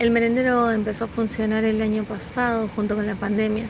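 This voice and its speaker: Against noticeable background noise, a woman talks at a very fast pace with a fairly high pitch. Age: 30s. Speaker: soup kitchen volunteer. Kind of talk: interview testimony.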